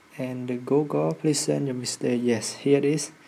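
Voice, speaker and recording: Noticeable background noise sits behind a man speaking at medium pitch with lively intonation. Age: young. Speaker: computer science student. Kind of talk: screen-recorded software tutorial.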